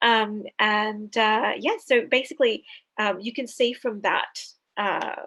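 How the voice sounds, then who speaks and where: A woman with an Australian accent speaks in a fairly high voice. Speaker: author and PhD student. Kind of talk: interview. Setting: video call. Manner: hesitant, many fillers.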